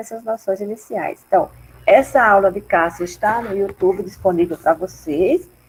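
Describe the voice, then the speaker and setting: A soft-spoken woman talks with lively intonation. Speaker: research group coordinator / professor. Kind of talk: online mini-course introduction.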